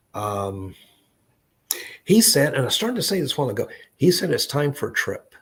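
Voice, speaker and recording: At a moderate pace, a man speaks with an American accent. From US South, Tennessee (Memphis). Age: 60s. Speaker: psychic medium. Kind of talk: live psychic reading. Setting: live online stream. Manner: halting.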